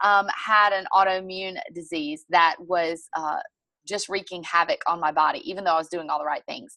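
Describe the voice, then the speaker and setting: Against a quiet background, a woman with a Southern US accent speaks at a moderate pace in a medium pitch, her tone bright and sharp and her intonation fairly even. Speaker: network marketing distributor and fitness coach. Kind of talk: sales presentation on a group call.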